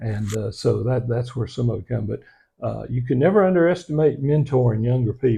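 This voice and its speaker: With an American accent, a man talks at a fairly quick pace and medium pitch, his tone dark and mellow and somewhat breathy. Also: ordinary pitch variation. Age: 60s. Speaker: local historian and author. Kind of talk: interview. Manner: halting, many fillers.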